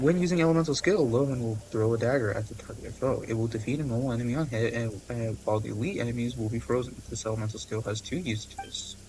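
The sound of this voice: A man talks at a fast pace with few pauses. Faint background noise can be heard. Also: medium pitch for a man, ordinary pitch variation, slightly mellow tone.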